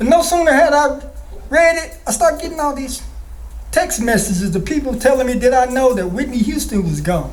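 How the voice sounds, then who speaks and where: A man at a fairly quick pace with very wide pitch swings, amid noticeable background noise and audible room echo. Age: 60s. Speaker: spoken word poet. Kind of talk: poetry performance.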